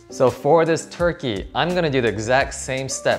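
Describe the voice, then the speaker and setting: With faint music behind him, a man speaks at a moderate pace. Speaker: cooking channel host. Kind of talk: tutorial. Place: kitchen.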